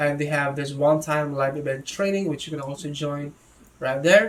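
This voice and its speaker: Music plays in the background. A man speaks with monotone, flat intonation. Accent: non-native. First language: not English. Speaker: product reviewer. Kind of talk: product review tutorial. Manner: hesitant, self-correcting.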